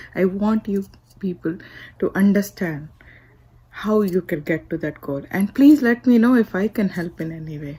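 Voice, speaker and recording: A woman talks at a moderate pace in a medium pitch, her somewhat breathy voice dark and mellow, with lively intonation and big swings in loudness. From India. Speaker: motivational speaker. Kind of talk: inspirational speech.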